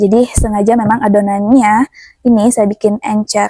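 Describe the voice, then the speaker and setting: A woman speaks at a fairly high pitch in a dark, mellow, somewhat breathy tone with fairly even intonation. The sound is dry and close, with no echo. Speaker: cooking and village-life vlogger. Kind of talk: casual cooking vlog. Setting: home kitchen. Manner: chatty, conversational.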